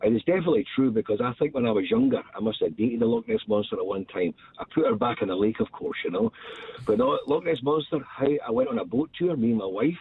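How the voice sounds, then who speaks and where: A man with a Scottish accent talks very fast at a medium pitch, his pitch swinging very widely. His loudness stays very even, and there is noticeable background noise. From Scotland. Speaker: radio show caller. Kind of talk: casual chat.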